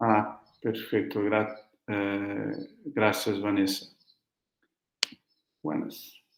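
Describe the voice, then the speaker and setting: A man with a fairly low pitch talks at a very slow pace with fairly even intonation and long, frequent pauses, his voice carrying audible room echo. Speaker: academic researcher presenting a paper. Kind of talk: conference presentation. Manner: slow, deliberate; hesitant, many fillers.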